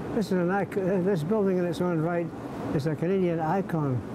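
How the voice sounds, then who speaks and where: A man's voice with noticeable background noise. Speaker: WWII veteran, author and museum volunteer. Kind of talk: elder life story, earnest appeal recalling wartime comrades and the museum's plight. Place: hall.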